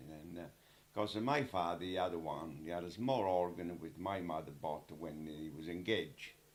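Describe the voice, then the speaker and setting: A man speaks at a moderate pace in a very deep, low voice with an Italian accent. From Italy. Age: 80s+. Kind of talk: interview answer.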